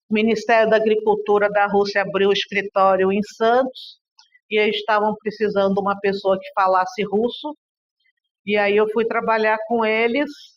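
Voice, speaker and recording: Delivery comes at a moderate pace with monotone, flat intonation. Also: woman, fairly high pitch for a woman. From Brazil, raised largely in Russia. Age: 60s. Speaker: interviewee, daughter of a political figure. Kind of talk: interview testimony. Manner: conversational, hesitant fillers.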